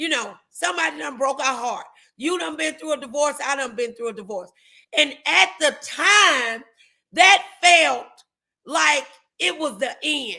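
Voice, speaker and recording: The voice is raised and projected, with a bright, sharp tone. It moves at a fairly slow pace through very wide pitch swings. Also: woman, high pitch for a woman. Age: 50s. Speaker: talk show host and preacher. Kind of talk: casual chat. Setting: livestream.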